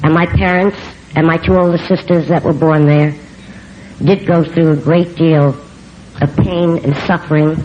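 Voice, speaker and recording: In a strong New York accent, a woman speaks at a fairly low pitch and moderate pace, her intonation fairly even, with noticeable background noise. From New York City. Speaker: recovery speaker. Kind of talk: recovery testimony. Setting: convention stage with audience.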